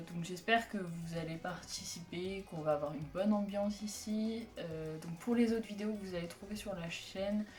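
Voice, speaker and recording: A woman speaks at medium pitch and a moderate pace with ordinary pitch variation and hardly any pauses. Music plays behind her, and room echo is audible. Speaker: youtuber and fan community organizer. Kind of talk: casual vlog announcement. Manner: hesitant, many fillers.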